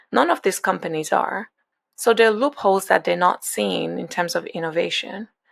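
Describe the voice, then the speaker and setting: A woman with a Nigerian accent at a moderate pace, on a very clean recording with a silent background. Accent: Nigerian, noticeable. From Nigeria, Lagos. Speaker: venture capital investor. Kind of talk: podcast interview. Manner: conversational, with fillers and restarts.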